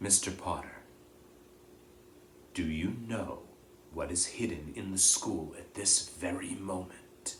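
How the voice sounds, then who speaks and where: A man's put-on character voice, very deep and low in pitch, at a fairly slow pace with long, frequent pauses over clear background noise. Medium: read story. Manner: measured, solemn, quiet.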